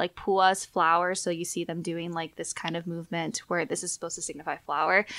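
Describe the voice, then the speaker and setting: A woman speaks at a fairly quick pace with hardly any pauses, her fairly low pitch held in a flat monotone. Her tone is bright and sharp, and the recording is very clean with a silent background. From Hawaii. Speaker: content creator. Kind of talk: casual chat.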